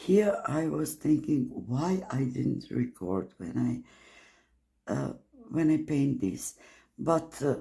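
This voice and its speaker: Someone speaks at a very slow pace with a non-native accent. Long, frequent pauses break up the speech. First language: not English. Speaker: art channel creator. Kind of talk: casual art walkthrough. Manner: hesitant, many fillers.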